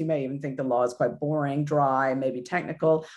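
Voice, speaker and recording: Quiet surrounds this recording. A woman speaks at a fairly quick pace. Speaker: lawyer at a tech justice organization. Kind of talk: talk to an online audience. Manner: fast.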